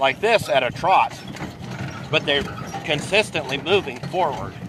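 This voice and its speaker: This man keeps a moderate pace while noticeable background noise runs underneath. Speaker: horse riding instructor. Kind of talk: live lesson demonstration. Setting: outdoors on a horse-drawn wagon.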